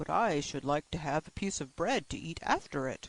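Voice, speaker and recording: A put-on character voice from a man, fairly high in pitch and at a moderate pace. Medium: read story.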